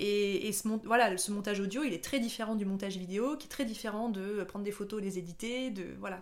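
In a room with audible echo, a woman speaks at a fairly quick pace and medium pitch with ordinary pitch variation. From France, Haute-Savoie. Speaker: nurse turned content creator. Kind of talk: casual interview.

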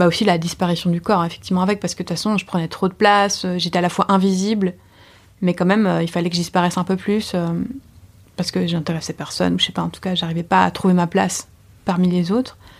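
A woman speaks at a very fast pace in a fairly low pitch. Her intonation is monotone and flat, on a very clean recording with a silent background. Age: 30s. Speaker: artist and slam poet. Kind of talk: testimony. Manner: halting.

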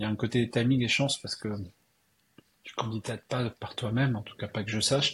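The pace is fairly quick. A man's voice comes through somewhat breathy. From Alsace, France. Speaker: tech entrepreneur. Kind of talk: interview.

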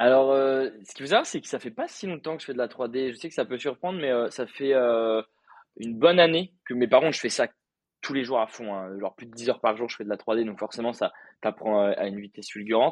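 Heard dry and close with no echo, a man at medium pitch talks at a fairly quick pace. His pitch varies in an ordinary way while his loudness swings widely. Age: 20s. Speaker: content creator and freelancer. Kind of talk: casual interview. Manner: hesitant, many fillers.

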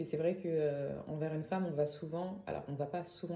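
In a Parisian accent, a woman with a very deep, low voice speaks with fairly even intonation amid audible room echo. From Paris area, France. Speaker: singer-songwriter. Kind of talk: interview.

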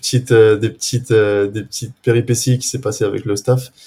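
Speaking in a southwestern French accent, a man keeps a moderate pace with monotone, flat intonation at medium pitch. His tone is dark and mellow and somewhat breathy. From southwest France, near Agen. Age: 20s. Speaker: amateur footballer. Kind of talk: casual interview. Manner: halting, many repetitions.

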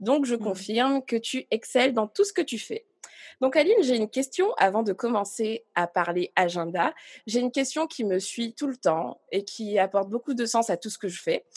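In a dry, close recording with no echo, a woman with a normal speaking voice talks at a moderate pace with lively intonation. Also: fairly high pitch for a woman. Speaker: podcast host. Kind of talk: casual interview.

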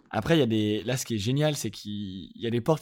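Delivered at a fairly quick pace with ordinary pitch variation, an unremarkable speaking voice comes through on a very clean recording with a silent background. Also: man. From France, Lyon. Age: 20s. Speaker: music industry manager. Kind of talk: casual interview.

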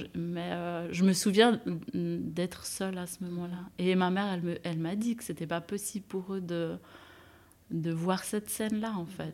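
With fairly even intonation, a woman with a fairly low pitch talks at a fairly slow pace in an ordinary speaking voice. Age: 30s. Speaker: nurse. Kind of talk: testimony.

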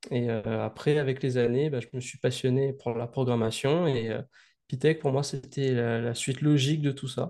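Over a quiet background, a man at medium pitch talks in a dark, mellow tone with fairly even intonation. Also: moderate pace. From Réunion. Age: young. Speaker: student and video game developer. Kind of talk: interview.

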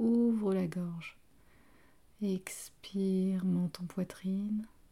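A woman speaks at medium pitch in a dark, mellow, somewhat breathy tone. Her intonation is monotone and flat. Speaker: yoga teacher. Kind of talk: guided yoga class. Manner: slow; soft-spoken.

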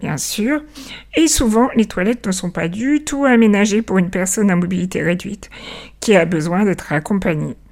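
In an ordinary speaking voice, a woman talks at a fairly slow pace with medium pitch and lively intonation. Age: 40s. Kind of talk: scripted narration.

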